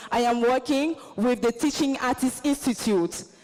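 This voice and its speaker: A high-pitched woman's voice at a moderate pace with ordinary pitch variation, amid noticeable background noise. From Côte d'Ivoire. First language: Baoulé. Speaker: visiting fellow and performing artist. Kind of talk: convention presentation.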